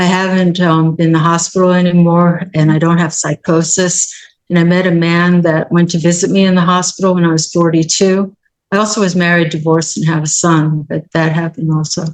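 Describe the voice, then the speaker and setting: At a fairly quick pace, a woman talks with monotone, flat intonation, a fairly low pitch and very even loudness. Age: 60s. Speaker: person with lived experience of mental illness. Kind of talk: casual interview. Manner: halting.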